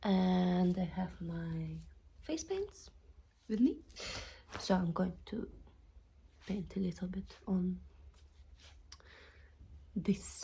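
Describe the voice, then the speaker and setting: Speaking with a non-native accent, a woman goes at a very slow pace with long, frequent pauses. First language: not English. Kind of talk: casual talk to camera. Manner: unscripted, hesitant.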